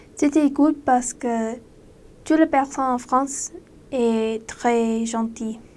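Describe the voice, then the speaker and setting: Speaking with a non-native accent, a woman uses a high pitch and fairly even intonation at a very slow pace, with long, frequent pauses. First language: not French (speaking French). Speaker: former missionary. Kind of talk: casual monologue. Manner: halting.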